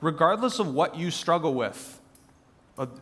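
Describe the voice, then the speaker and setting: A man talks with ordinary pitch variation while audible room echo fills the space. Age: 20s. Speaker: church staff member. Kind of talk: church Q&A session. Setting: church service with congregation.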